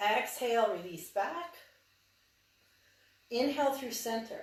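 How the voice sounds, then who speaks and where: Fairly slow, fairly high-pitched female speech amid audible room echo. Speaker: yoga instructor. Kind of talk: guided yoga class. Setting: cabin, in front of a fire.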